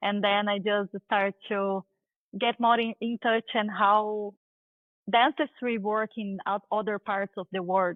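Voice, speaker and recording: A woman with a Brazilian accent at a fairly slow pace in monotone, flat intonation. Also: medium pitch for a woman. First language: Portuguese. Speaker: dentist and tech founder. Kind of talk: interview.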